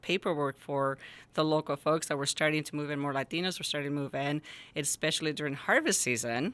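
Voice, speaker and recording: With a Spanish accent, the speaker has a bright, sharp tone on a very clean recording with a silent background. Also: woman. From Jalisco, Mexico; raised in rural Northern California from age 10. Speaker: school principal. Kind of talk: podcast interview.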